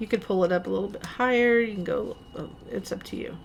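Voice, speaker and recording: Ordinary pitch variation from a woman, her pace moderate. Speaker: craft tutorial maker. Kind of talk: tutorial. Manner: rising intonation, sounds like asking questions; casual, halting with fillers.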